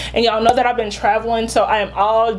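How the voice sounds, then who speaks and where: Fairly high female speech amid noticeable background noise. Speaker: beauty vlogger. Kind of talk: product review vlog. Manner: animated.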